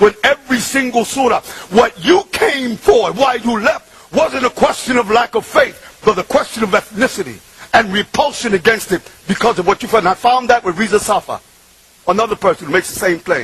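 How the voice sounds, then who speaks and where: Over noticeable background noise, a man with a New York accent speaks at a fairly quick pace in a high pitch, his tone animated and his pitch variation ordinary. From Bronx, New York, Puerto Rican family. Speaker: preacher. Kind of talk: religious talk.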